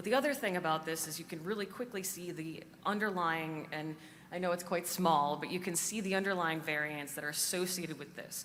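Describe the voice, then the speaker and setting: In a room with audible echo, a woman talks fairly quickly at a fairly low pitch with ordinary pitch variation. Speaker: conference speaker, cancer genomics researcher. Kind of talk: conference talk. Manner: fast.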